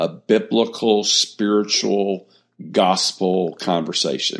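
A man with an Alabama accent talks at a fairly slow pace in a fairly low pitch. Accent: Southern US (Alabama). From US South, Mobile, Alabama. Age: 60s. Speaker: ministry founder and former pastor. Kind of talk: interview, personal testimony.

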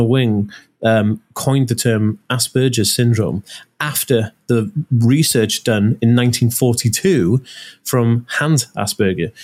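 The speaker is a man. He has a North Welsh accent. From North Wales, Anglesey. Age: 30s. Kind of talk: casual interview chat. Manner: animated.

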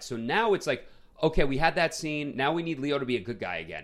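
At a very fast pace, a man talks with lively intonation, vocal fry and a fairly high pitch. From US Northeast, Queens, New York. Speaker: film podcast co-host. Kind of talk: casual chat.

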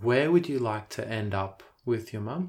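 On a very clean recording with a silent background, a man with an Australian accent sounds somewhat breathy. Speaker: podcast host. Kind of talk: interview. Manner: hesitant, with fillers.

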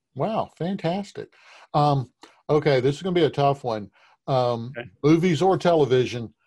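This man has a fairly high pitch and a dark, mellow tone, sounding somewhat breathy as he speaks at a moderate pace with ordinary pitch variation. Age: 50s. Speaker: podcast host and portrait painter. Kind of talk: interview conversation.

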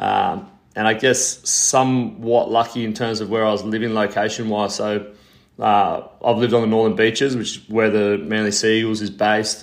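A man with an Australian accent speaks at a moderate pace. His medium-pitched voice has monotone, flat intonation. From Australia, Sydney. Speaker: physiotherapist and reconditioning coach. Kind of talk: interview.

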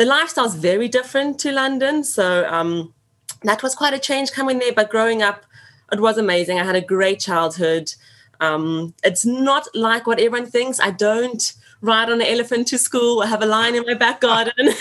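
Lively intonation marks this speaker with a South African accent. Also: woman, fairly high pitch for a woman. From Johannesburg, South Africa. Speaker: teacher, podcast guest. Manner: fast talker; enthusiastic, expressive.

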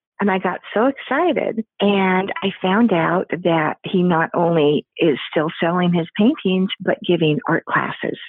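A woman with an American accent speaks in a normal speaking voice at a medium pitch and a fairly slow pace, with hardly any pauses. Her loudness stays very even, and her pitch varies in an ordinary way. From US Pacific Northwest. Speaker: artist. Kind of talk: interview. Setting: phone call.

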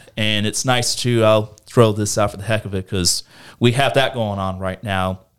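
Recorded cleanly over a silent background, a man with an American accent uses an ordinary speaking voice at a fairly low pitch, with fairly even intonation and a moderate pace. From US South, northeast Florida. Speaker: local elected official, engineer. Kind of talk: casual interview.

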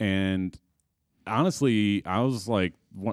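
Recorded very cleanly against a silent background with a dry, close sound and no echo, a man with a fairly low pitch and an ordinary speaking voice talks with lively intonation. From Chicago suburbs. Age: 30s. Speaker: filmmaker and film school graduate. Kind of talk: casual chat.

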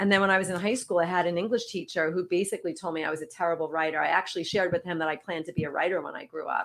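In a New York accent, a woman speaks with a fairly low pitch on a very clean recording with a silent background. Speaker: wellness coach. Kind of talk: interview.

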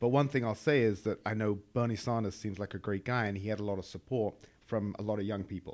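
In an English accent, the delivery is fairly quick with fairly even intonation. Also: man. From England. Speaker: entrepreneur, former trader. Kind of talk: casual chat.

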